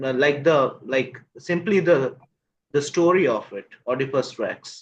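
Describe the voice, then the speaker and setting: A man's plain, everyday voice, fairly high in pitch, with ordinary pitch variation at a fairly slow pace. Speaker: English teacher. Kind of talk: interviewer questions.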